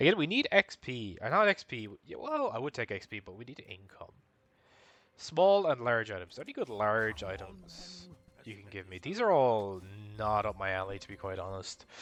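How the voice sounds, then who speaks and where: A man mumbles quietly at a medium pitch with lively intonation. His loudness swings widely. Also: moderate pace. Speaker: video game streamer. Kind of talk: live gameplay commentary. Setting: live stream at home. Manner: mumbling.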